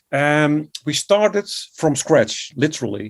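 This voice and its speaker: Speaking with a Dutch accent, a man has a fairly high pitch, ordinary pitch variation and a fairly slow pace. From Netherlands. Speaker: composer and music educator. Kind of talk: interview.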